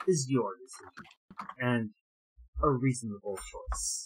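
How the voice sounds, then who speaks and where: This is a put-on character voice at a low-to-middle pitch. It moves at a fairly slow pace. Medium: actual play. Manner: grave, formal.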